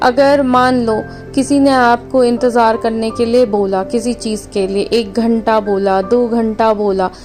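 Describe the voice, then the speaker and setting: Music plays in the background as the voice holds a fairly even intonation. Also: woman. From India. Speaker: spiritual healer. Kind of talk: spiritual guidance talk.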